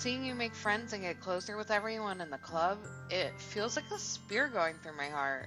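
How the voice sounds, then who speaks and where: Music plays in the background as a woman talks at a moderate pace. Her pitch swings very widely. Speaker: let's play gamer. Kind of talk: reading visual novel dialogue aloud.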